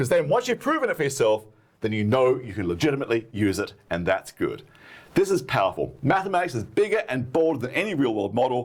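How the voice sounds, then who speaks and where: Animated and very fast, a man at medium pitch uses very wide pitch swings, with vocal fry in his voice. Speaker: math educator. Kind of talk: lecture.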